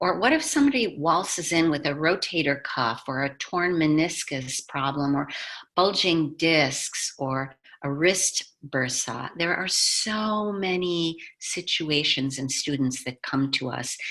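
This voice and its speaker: With a very deep, low pitch and a bright, sharp tone, a woman speaks at a fairly slow pace with ordinary pitch variation. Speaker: yoga teacher and trainer. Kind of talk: online masterclass presentation. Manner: animated.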